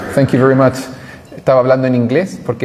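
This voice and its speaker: A man speaks at medium pitch in a Chilean accent. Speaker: priest and journalist. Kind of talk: parish talk with slides. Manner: fast; halting, many fillers.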